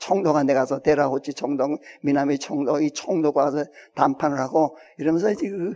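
Over noticeable background noise, a man's fairly high voice moves with fairly even intonation. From Hwanghae Province, North Korea. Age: 80s+. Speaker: retired pastor and Bible scholar. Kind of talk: public talk to an audience. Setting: auditorium with audience. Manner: halting, with many fillers.

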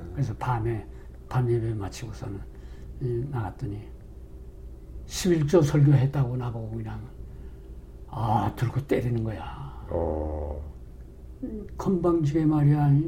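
The pace is very slow, broken by long, frequent pauses. Pitch swings very widely throughout. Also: man, medium pitch for a man. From North Korea. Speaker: retired pastor. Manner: halting, filler-heavy.

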